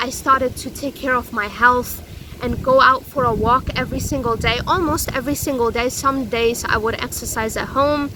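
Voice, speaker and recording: A loud woman with a high pitch talks at a moderate pace with fairly even intonation while noticeable background noise runs underneath. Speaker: self-help vlogger. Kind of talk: personal vlog monologue. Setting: outdoors. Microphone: no microphone.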